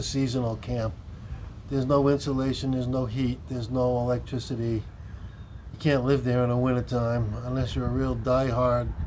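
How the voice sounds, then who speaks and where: Room echo is audible as a man speaks at a moderate pace and medium pitch with fairly even intonation. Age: 60s. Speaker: cannabis vlogger. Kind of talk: casual vlog monologue.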